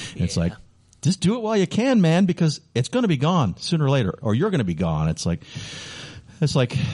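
A man speaks very fast with an American accent and very wide pitch swings. His tone is dark and mellow, and somewhat breathy. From Chicago, US Midwest. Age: 50s. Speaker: radio host and hockey PA announcer. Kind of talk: casual interview. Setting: radio studio.

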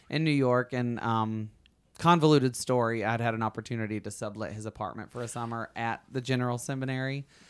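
With a Southern US accent, a man talks at a medium pitch and fairly even intonation on a very clean recording with a silent background. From Alabama. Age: 30s. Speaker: podcast host. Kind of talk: casual chat.

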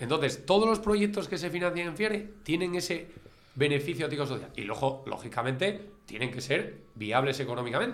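In a room with audible echo, a man with a fairly high pitch talks at a fairly quick pace, his pitch swinging very widely. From Spain, Asturias (Gijón). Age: 40s. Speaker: school teacher. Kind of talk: casual interview. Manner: halting, repeats words.

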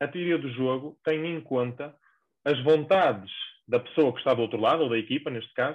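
Speaking very fast in a northern Portuguese accent, a man uses a medium pitch with ordinary pitch variation. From northern Portugal. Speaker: sports performance coach. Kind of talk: podcast interview.

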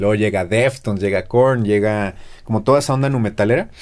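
A fairly low-pitched man with a Mexico City accent, on a very clean recording with a silent background. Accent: Mexico City area Spanish. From central Mexico (Texcoco, State of Mexico). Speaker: guitarist and music teacher. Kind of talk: casual interview chat.

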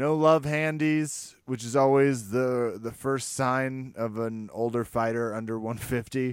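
In a very clean recording with a silent background, a man speaks at a medium pitch in an animated tone, at a fairly slow pace with hardly any pauses. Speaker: podcast host. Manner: joking, animated.

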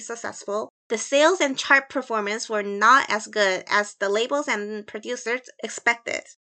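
A woman with an American accent speaks at a moderate pace over a quiet background. Her voice is fairly high with a bright, sharp tone and ordinary pitch variation. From US Midwest (Chicago). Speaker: guest co-host and researcher. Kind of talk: scripted podcast narration; casual chat.

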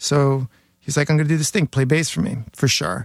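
A man with an American accent, fairly high in pitch with ordinary variation, at a fairly quick pace, in a dry, close sound with no echo. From New York City (Queens). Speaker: hardcore bassist. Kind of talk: casual chat.

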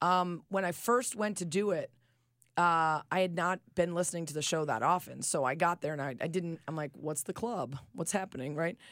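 With an American accent, a woman talks at a moderate pace in a plain, everyday voice, fairly low in pitch with ordinary pitch variation, in a very clean recording with a silent background. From Chicago suburbs, US Midwest. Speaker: sports journalist. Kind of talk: casual interview. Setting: studio.

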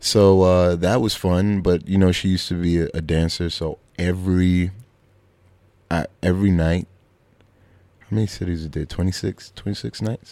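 A man with a Brooklyn accent speaks in a very deep, low voice with a dark, mellow tone and fairly even intonation, leaving long, frequent pauses. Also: fairly slow pace. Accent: New York (Brooklyn). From Brooklyn, New York (Flatbush). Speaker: comedian and actor. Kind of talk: casual chat.

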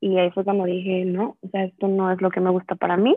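A woman's voice at a medium pitch. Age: 20s. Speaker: business student. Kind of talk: interview.

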